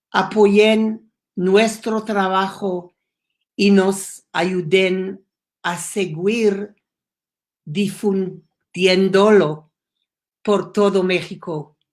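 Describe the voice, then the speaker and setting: In an English accent, the speaker goes at a very slow pace with long, frequent pauses. The intonation stays flat and monotone. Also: woman, medium pitch for a woman. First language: English (speaking Spanish). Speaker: education program founder. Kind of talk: prepared speech. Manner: halting.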